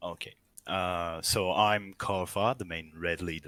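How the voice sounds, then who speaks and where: A man with a French accent speaks in a very deep, low pitch with a bright, sharp tone and fairly even intonation, on a very clean recording with a silent background. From France. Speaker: gamer, guild shotcaller. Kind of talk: interview. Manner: halting.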